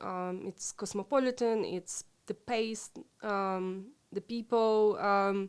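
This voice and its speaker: Very slow speech with a Ukrainian accent, fairly even intonation, on a very clean recording, silent background. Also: woman, medium pitch for a woman. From Ukraine (Lviv). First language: Ukrainian/Russian. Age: 40s. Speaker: interview guest, expat. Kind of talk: interview conversation. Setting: live stream recording. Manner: hesitant, many fillers.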